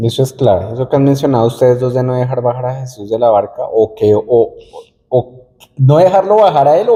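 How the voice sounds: Talking fairly quickly with few pauses, a man uses a medium pitch and ordinary pitch variation. His tone is dark and mellow.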